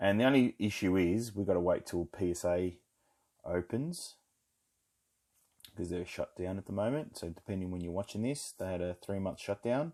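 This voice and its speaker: Speaking at a moderate pace with long, frequent pauses, the voice has a dark, mellow tone and an Australian accent on a very clean recording with a silent background. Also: man. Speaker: trading card collector, video creator. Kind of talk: card pack opening commentary. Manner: monotone on these videos.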